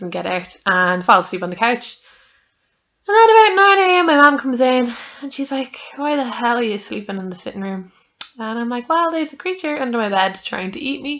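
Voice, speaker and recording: Talking at a fairly quick pace with an Irish accent, a woman lets her pitch swing very widely. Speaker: podcaster. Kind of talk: casual chat. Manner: rambling conversational, many fillers.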